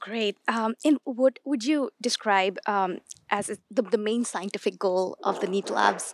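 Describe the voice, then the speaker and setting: An ordinary speaking voice from a woman, fairly high in pitch, with ordinary pitch variation, a fairly slow pace, and a dry, close sound without echo. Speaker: interviewer. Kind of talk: interview.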